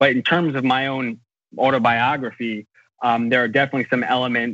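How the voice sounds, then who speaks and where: A man with an American accent, a plain, everyday voice, medium pitch, fairly even intonation and a fairly quick pace. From United States. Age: 20s. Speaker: novelist. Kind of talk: interview.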